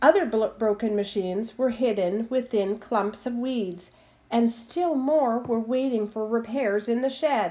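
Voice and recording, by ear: Someone reads aloud in a natural voice.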